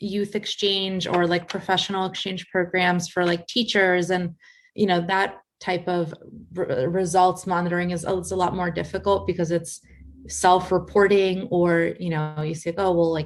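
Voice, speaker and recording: With a Russian accent, a woman speaks in a fairly low, monotone, flat voice at a moderate pace against a quiet background. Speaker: international development program manager. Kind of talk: panel Q&A with students. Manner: casual, filler-heavy.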